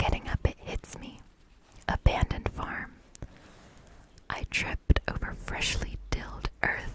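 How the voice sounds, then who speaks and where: Whispering at a fairly slow pace with long, frequent pauses over noticeable background noise. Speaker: ASMR creator. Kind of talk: horror story reading. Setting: outdoors, rain in background. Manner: whispered.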